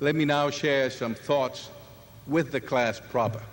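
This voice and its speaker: A man talks at a fairly slow pace. His pitch is fairly high. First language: not English. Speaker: commencement speaker, physician and former university president. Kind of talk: commencement address. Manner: formal.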